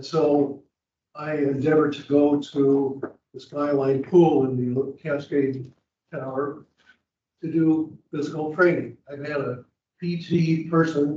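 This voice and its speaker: This man has a fairly high pitch and a dark, mellow tone that is somewhat breathy. He talks at a fairly slow pace with fairly even intonation. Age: 80s+. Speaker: resident giving public comment. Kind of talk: public comment testimony.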